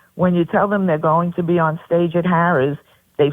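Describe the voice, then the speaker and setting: In a Brooklyn accent, a woman speaks at a fairly low pitch. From New York, Brooklyn. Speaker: pageant director. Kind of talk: radio interview.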